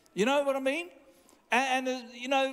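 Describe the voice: A man's extremely high-pitched voice with a fairly bright tone, at a moderate pace.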